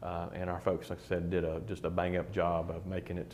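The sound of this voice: A man with a low voice speaks with little pitch movement and a slightly mellow tone.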